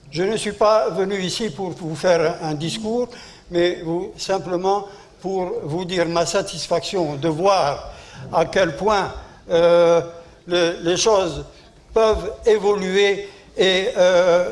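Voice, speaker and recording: Speaking very slowly with long, frequent pauses, a man uses a high pitch and fairly even intonation amid audible room echo. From Algeria. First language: Arabic (speaking French). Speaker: war veteran. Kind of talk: conference speech. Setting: conference hall. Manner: halting.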